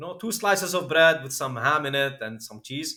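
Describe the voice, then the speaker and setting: A man with a Lebanese accent, a bright, sharp tone and lively intonation, on a very clean recording with a silent background. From Lebanon. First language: Arabic. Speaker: crypto entrepreneur. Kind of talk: podcast interview, personal story.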